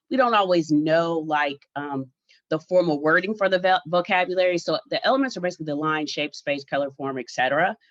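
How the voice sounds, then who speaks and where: A normal speaking voice moves at a fairly quick pace with lively intonation, its sound dry and close with no echo against a quiet background. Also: woman, fairly low pitch for a woman. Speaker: art teacher and artist. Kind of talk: lecture.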